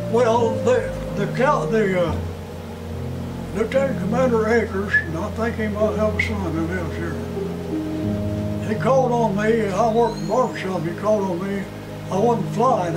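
A man talks at a moderate pace. Music is clearly heard in the background. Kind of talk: interview answer. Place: office.

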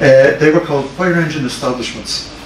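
A man talks very fast with ordinary pitch variation. Light background noise and audible room echo can be heard. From Ireland, Dublin. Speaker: fire service historian giving a lecture. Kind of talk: lecture. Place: meeting room. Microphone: camera far.

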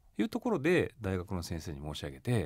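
A man's pitch swings very widely as he talks. Vocal fry runs through his voice. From Japan, Yokohama, Kanagawa. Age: 40s. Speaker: company chairman. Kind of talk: radio interview.

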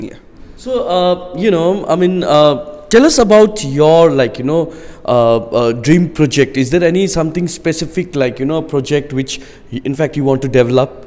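A man with a Nepali accent speaks at a fairly high pitch. His pace is moderate and his pitch varies in an ordinary way. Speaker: news reporter. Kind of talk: interview. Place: classroom. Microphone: handheld.

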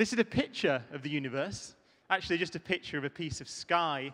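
A man's bright, sharp tone with ordinary pitch variation. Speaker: conference speaker. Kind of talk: keynote talk. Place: stage. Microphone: handheld.

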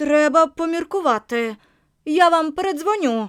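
A woman puts on a high-pitched character voice with lively intonation at a moderate pace. The recording is very clean, with a silent background. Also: dry, close sound with no echo. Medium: read story. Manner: gloomy, suspicious.

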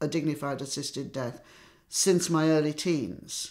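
A woman speaks at a very deep, low pitch. Her pace is moderate and the background is quiet. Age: 70s. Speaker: cancer patient, assisted dying campaigner. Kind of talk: personal testimony to camera. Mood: serious, determined. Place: home room.

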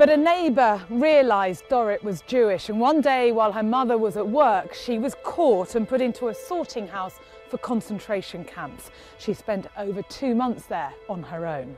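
Over music in the background, a woman talks at a moderate pace in a fairly high voice with very wide pitch swings. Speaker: TV presenter. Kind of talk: TV documentary narration.

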